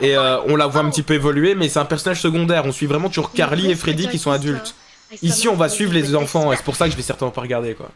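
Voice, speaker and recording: Noticeable background noise sits under a man talking at a very fast pace, his fairly high voice showing ordinary pitch variation. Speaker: YouTube reaction host. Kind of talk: casual reaction commentary. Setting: wearing headphones while watching. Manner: loud; casual.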